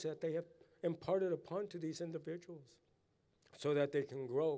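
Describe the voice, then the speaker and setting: An American accent from a man with a dark, mellow tone and fairly even intonation. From Southern California, Ipai (Kumeyaay) Nation. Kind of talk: blessing and ceremonial speech.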